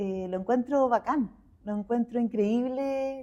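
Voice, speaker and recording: A woman speaks very slowly in a Chilean accent. Her tone is dark and mellow, with ordinary pitch variation. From Chile, Santiago. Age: 60s. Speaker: visual artist. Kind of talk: interview conversation.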